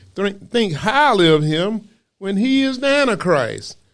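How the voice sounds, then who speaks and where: In a very clean recording with a silent background, a man with a Southern US accent talks with very wide pitch swings. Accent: Southern US (Georgia). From US South, Macon, Georgia. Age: 70s. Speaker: preacher. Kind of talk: sermon.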